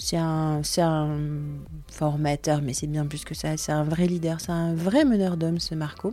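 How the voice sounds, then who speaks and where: A woman with a very deep, low voice and a dark, mellow tone is speaking. She talks at a fairly slow pace with fairly even intonation. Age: 40s. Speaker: podcast host and radiation protection trainer. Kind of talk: solo podcast monologue. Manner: partly improvised, with hesitations.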